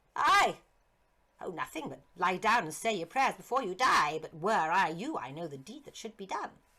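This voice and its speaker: A put-on, shrill, female-sounding character voice at a middle pitch and moderate pace. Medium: read story. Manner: mocking, grandiose.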